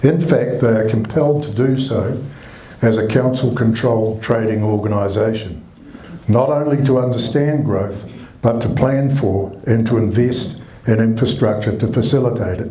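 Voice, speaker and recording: A man with a New Zealand accent at a moderate pace and medium pitch, ordinary pitch variation, audible room echo and noticeable background noise. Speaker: mayor. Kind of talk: reading a prepared statement. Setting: public meeting with audience, microphone. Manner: formal.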